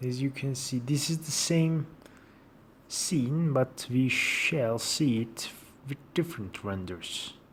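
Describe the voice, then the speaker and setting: At a very slow pace, a man speaks in a somewhat breathy voice with ordinary pitch variation. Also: medium pitch for a man. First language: Turkish. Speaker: software tutorial maker. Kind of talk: tutorial. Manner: halting.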